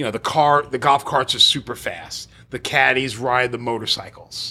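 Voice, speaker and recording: A man's bright, sharp voice at medium pitch, with vocal fry, ordinary pitch variation, hardly any pauses and a moderate pace. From New York City, Staten Island. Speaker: golf club director and radio co-host. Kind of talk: casual interview. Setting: studio.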